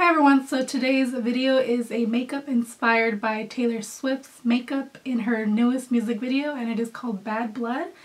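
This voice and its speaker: Hardly pausing at all, a woman with a high pitch speaks with fairly even intonation. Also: moderate pace. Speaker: makeup artist / beauty vlogger. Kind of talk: makeup tutorial narration.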